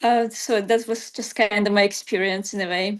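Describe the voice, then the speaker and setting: Against a quiet background, a woman with a non-native accent speaks at a fairly slow pace with ordinary pitch variation. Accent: foreign. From outside the US, moved there at fifteen. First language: not English. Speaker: writer. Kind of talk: panel discussion.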